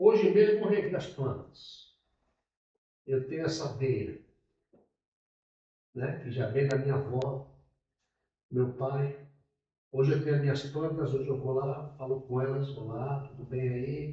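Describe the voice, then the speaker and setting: A man with a dark, mellow, somewhat breathy tone and a fairly high pitch speaks at a fairly slow pace, leaving long, frequent pauses amid audible room echo. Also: ordinary pitch variation. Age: 60s. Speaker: pastor. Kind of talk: sermon. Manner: conversational.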